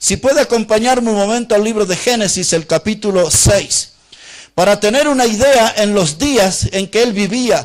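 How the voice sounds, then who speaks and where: A man's high-pitched voice at a moderate pace, with ordinary pitch variation and very even loudness. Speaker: Baptist preacher / pastor. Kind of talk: sermon preached to a congregation.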